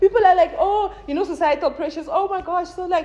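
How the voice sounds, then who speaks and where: A woman speaks in an animated tone. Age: 20s. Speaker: content creator. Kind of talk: casual chat. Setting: filmed with a phone camera.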